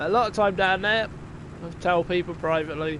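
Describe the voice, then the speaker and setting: High pitch from a man with a Wiltshire accent, at a moderate pace with ordinary pitch variation. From southern England, Wiltshire. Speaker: gaming streamer. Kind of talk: live gameplay stream chat. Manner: casual, chatty.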